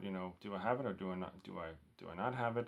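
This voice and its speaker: At a moderate pace, a man with a Danish accent talks with ordinary pitch variation. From Denmark. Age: 40s. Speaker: record collector vlogger. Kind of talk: casual vlog. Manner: halting, many fillers.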